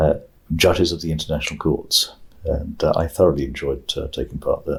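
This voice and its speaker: Speaking at a fairly quick pace, a man talks with a British accent. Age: 60s. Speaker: retired international judge and law professor. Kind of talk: oral history interview. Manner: hesitant, with many fillers.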